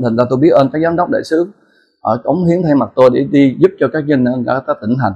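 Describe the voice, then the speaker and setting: Lively intonation colors this man's speech. His fairly high voice is somewhat breathy. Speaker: entrepreneur. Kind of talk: motivational talk.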